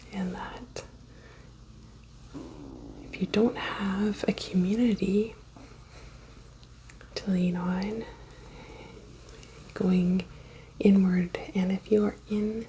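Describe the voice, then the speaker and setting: Soft-spoken and monotone, a woman talks at a very slow pace with long, frequent pauses and flat intonation. Her pitch is medium, and noticeable background noise runs underneath. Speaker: reiki practitioner. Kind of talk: ASMR reiki session.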